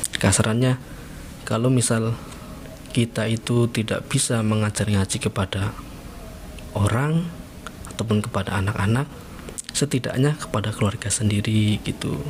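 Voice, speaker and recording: A man talks at a moderate pace with very even loudness and long, frequent pauses, against noticeable background noise. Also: medium pitch for a man. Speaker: former pesantren student. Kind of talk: casual interview. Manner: animated storytelling.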